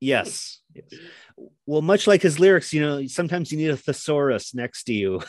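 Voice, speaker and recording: Against a quiet background, a man with an American accent talks at a moderate pace in an unremarkable speaking voice, fairly high in pitch and lively in intonation. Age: 40s. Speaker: podcast guest, music fan. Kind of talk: casual chat.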